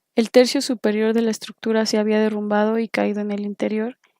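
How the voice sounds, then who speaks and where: On a very clean recording with a silent background and a dry, close sound without echo, a woman with a fairly high pitch and a dark, mellow tone speaks at a fairly quick pace in a monotone, flat intonation. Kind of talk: audiobook reading.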